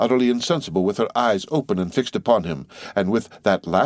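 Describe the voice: This plain reading aloud carries lively intonation.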